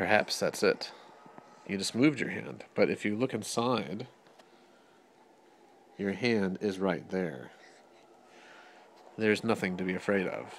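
Light background noise sits behind a man with a fairly low pitch who speaks at a fairly slow pace with long, frequent pauses. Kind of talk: playful narration to baby. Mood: gentle, amused. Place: home room. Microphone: phone near.

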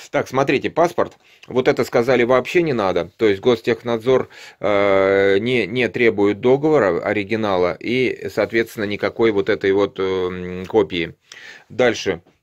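The background stays quiet. A man speaks fairly slowly. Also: ordinary pitch variation. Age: 50s. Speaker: YouTube vlogger. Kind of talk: tutorial. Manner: casual, with many filler sounds. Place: home room. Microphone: phone near.

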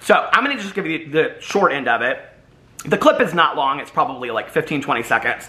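A man speaks with an animated tone and a high pitch. His pitch swings very widely, and his pace is fairly quick. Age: 40s. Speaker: YouTube commentary vlogger. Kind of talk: casual monologue to camera. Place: home room.

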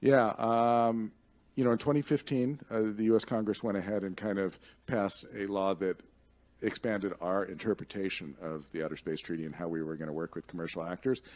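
A man speaks in a normal speaking voice, fairly low in pitch, at a moderate pace with ordinary pitch variation. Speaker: commercial space policy expert and conference speaker; conference speaker. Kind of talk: conference talk with audience Q&A. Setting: stage with audience. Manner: conversational, with frequent fillers and repetitions. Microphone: podium.

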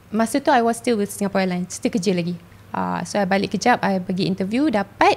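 Here a woman speaks at a very fast pace and medium pitch. Her intonation is lively. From Malaysia, Kuala Lumpur; Malaysia. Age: 20s. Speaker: flight attendant; podcast guest. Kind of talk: casual chat. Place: studio. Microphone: studio mic.

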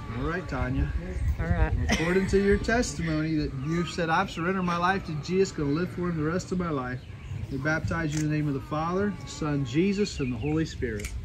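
Speech comes at a very fast pace with ordinary pitch variation, over noticeable background noise. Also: man, fairly high pitch for a man. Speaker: pastor. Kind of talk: baptism service with prayers. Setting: outdoors at a body of water. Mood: solemn, warm. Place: waterside. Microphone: camera far.

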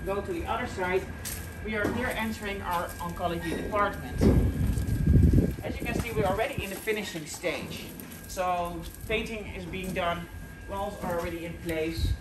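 Loud noise fills the background. The pace is moderate, with long and frequent pauses. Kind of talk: guided tour commentary. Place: hall. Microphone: phone near.

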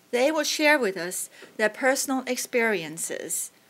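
Lively in intonation, a woman with an ordinary speaking voice talks at a moderate pace. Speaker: think tank fellow and moderator. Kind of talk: panel moderation. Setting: stage with audience. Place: hall. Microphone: podium.

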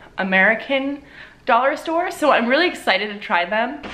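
Over light background noise, a woman talks at a moderate pace in a raised, projected voice. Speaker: lifestyle vlogger. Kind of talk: casual vlog chat. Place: home room.

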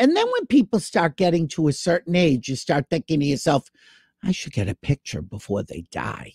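With very wide pitch swings, a man speaks at a moderate pace against a quiet background, the sound dry with no echo. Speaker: talk show host. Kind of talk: casual livestream chat. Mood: amused, joking. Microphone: webcam.

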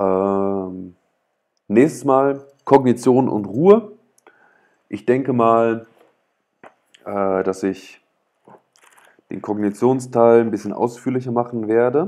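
Over a quiet background, a man with a dark, mellow tone speaks at a very slow pace with long, frequent pauses. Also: ordinary pitch variation. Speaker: author reading own book on livestream. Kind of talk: reading aloud with commentary. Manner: hesitant, many fillers; loud. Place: home room. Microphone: earbuds.

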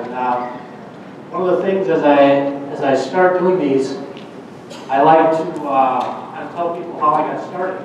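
In a strong room echo with light background noise, a man with an American accent speaks. His pace is fairly slow, with long, frequent pauses. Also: fairly high pitch for a man. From Minnesota. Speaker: farm equipment market analyst. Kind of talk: conference talk. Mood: friendly, upbeat. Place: hall.

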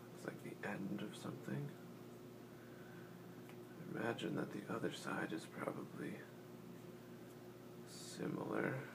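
The speech moves at a fairly slow pace, broken by long, frequent pauses, with noticeable background noise behind it. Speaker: ASMR creator. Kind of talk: casual talk to camera while assembling a puzzle.

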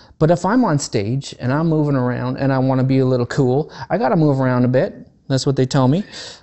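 This man has a fairly high voice and an animated tone. He talks at a fairly quick pace over a quiet background. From Canada, Vancouver; Canada. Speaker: guitar teacher. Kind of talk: tutorial. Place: home room. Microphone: lapel.

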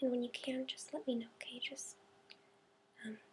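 Soft-spoken and high-pitched, a woman talks at a fairly quick pace in a dark, mellow tone over light background noise. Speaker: demonstrator of an eye exam. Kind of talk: role-play clinical instructions. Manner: soft, gentle ASMR-style speaking. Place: home room. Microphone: webcam.

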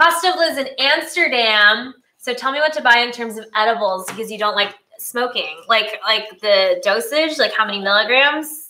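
Bubbly and enthusiastic, a woman speaks in a high voice at a moderate pace, her intonation lively and her loudness swinging widely. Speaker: cooking channel host. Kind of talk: live-streamed cooking show, casual chat. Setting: live stream. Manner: bubbly, enthusiastic.

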